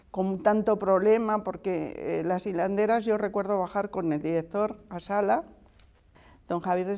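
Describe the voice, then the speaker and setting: This woman's voice has a dark, mellow tone. She talks at a fairly slow pace. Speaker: art restorer. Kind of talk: interview answer. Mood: warm, reflective. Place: studio.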